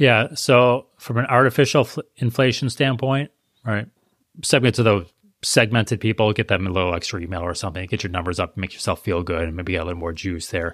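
In a very clean recording with a silent background and a dry, close sound with no echo, a man with an unremarkable speaking voice talks at a fairly low pitch with lively intonation. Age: 40s. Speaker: e-commerce marketing expert. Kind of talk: interview.

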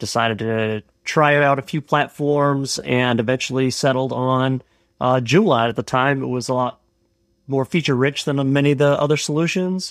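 Here a man has an ordinary speaking voice, medium in pitch with ordinary pitch variation, at a moderate pace. The recording is very clean, with a silent background. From Canada. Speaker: software business owner, former biochemistry professor. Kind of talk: casual chat.

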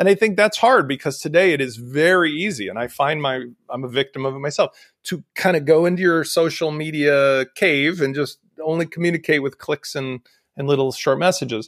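A man speaks in an ordinary speaking voice at a fairly quick pace, with fairly high pitch, ordinary pitch variation and a dry, close sound with no echo. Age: 50s. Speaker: e-commerce software entrepreneur. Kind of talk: casual interview. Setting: video call.

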